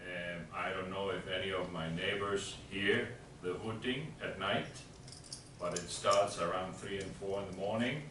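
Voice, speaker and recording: Fairly slow, fairly even speech with audible room echo and noticeable background noise. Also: man. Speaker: resident speaking at public meeting. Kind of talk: public comment at town meeting. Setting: town hall meeting. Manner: halting.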